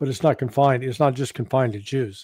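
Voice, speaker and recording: Somewhat breathy, a man speaks with an American accent. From United States. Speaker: geopolitical analyst. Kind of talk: interview. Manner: halting.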